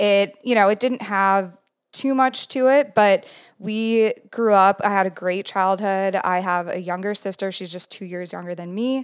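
The speaker has an unremarkable speaking voice with ordinary pitch variation at a moderate pace. The recording is very clean, with a silent background. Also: woman, medium pitch for a woman. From Minnesota, US Midwest. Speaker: photographer. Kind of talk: casual interview.

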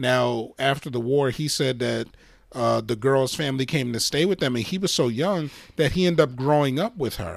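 A man's medium-pitched voice moves at a moderate pace, its pitch varying in an ordinary way. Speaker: podcast co-host. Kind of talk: casual chat. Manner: energetic.

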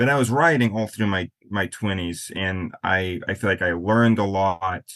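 An American man talks with a fairly low pitch and ordinary pitch variation in an unremarkable speaking voice. The background is quiet. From US Midwest, western South Dakota. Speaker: author. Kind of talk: interview.

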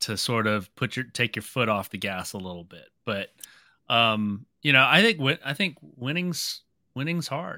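A man with a medium pitch speaks at a moderate pace in a bright, sharp tone, using lively intonation and big swings in loudness, on a very clean recording with a silent background. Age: 40s. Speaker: sports card dealer and podcast co-host. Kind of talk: casual chat.

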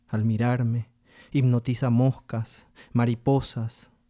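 The man's voice has a dark, mellow tone at a medium pitch, delivered in a monotone, flat intonation. The very clean recording has a silent background and a dry, close sound with no echo. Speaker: poetry reader. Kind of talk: reading poetry aloud in Spanish, solemn and measured. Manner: slow, deliberate, expressive.

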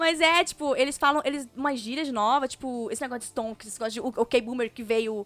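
A woman speaks in a high voice with hardly any pauses and big swings in loudness. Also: ordinary pitch variation, fairly quick pace. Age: 20s. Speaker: podcast co-host. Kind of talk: casual chat.

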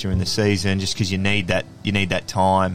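A speaker with an Australian accent talks in a flat, monotone way. Noticeable background noise runs underneath. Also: man. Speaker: former professional Australian rules football player. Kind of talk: casual interview chat.

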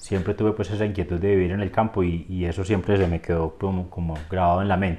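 Speaking at a very fast pace, a man delivers his words in a very deep, low pitch with monotone, flat intonation. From Colombia, Antioquia (Rionegro). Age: 40s. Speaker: business consultant. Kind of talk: interview. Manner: hesitant, many fillers.

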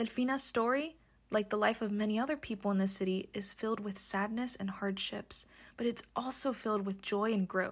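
Somewhat breathy speech comes at a fairly quick pace in a very clean recording with a silent background. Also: woman, fairly high pitch for a woman, fairly even intonation. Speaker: podcast narrator. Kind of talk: scripted narration.

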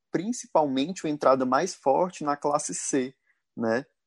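Over a quiet background, a man talks in a plain, everyday voice. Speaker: podcast co-host. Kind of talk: casual chat.

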